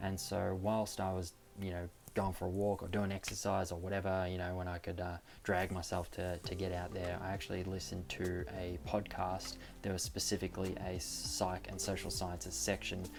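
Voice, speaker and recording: The speaker has an Australian accent and fairly even intonation. The delivery moves at a moderate pace. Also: man, very deep, low pitch for a man. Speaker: premed student vlogger. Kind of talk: casual tutorial vlog. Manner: frequent fillers, hesitant.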